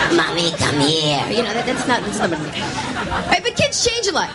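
A woman speaks over crowd noise in the background. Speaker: comedian. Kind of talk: stand-up comedy. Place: stage. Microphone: handheld.

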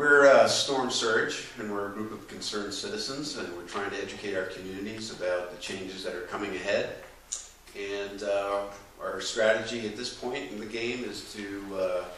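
A man with a fairly low pitch speaks at a moderate pace, with ordinary pitch variation and big swings in loudness, amid audible room echo and light background noise. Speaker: event host. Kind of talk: lecture introduction. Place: hall. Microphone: camera far.

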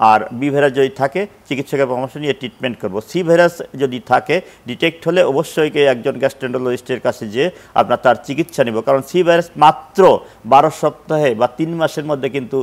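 A man with fairly high pitch and ordinary pitch variation. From Bangladesh. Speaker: professor of gastroenterology, physician; professor of gastroenterology. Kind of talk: live TV health interview. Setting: TV studio. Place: studio. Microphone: lapel.

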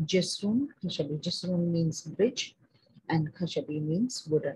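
In an Indian accent, a woman talks at a fairly slow pace with a fairly low pitch, a somewhat breathy, dark, mellow tone and lively intonation. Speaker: Arabic teacher. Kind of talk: vocabulary lesson. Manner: hesitant, many fillers.

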